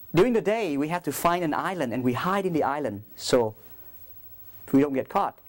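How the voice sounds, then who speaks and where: A man with a Vietnamese accent and a fairly high voice talks at a moderate pace with very wide pitch swings on a very clean recording with a silent background. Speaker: priest. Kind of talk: talk to school students.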